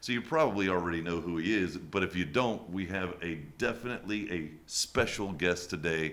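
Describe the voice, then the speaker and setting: The speech moves at a fairly quick pace. There are hardly any pauses. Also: man, very deep, low pitch for a man, ordinary pitch variation. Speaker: podcast host. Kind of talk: interview.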